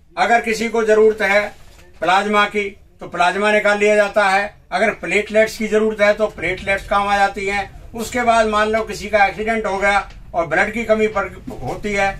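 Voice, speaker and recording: High-pitched male speech with noticeable background noise. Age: 60s. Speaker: blood donor. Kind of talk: news interview.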